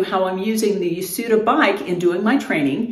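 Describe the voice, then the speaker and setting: Audible room echo around a woman speaking at a moderate pace. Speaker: fitness vlogger. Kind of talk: casual vlog chat. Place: home room. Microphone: camera far.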